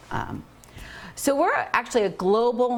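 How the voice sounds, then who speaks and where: Over noticeable background noise, a woman speaks in an animated tone at a moderate pace. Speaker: marine conservationist. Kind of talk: public lecture. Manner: loud. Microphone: no microphone at first.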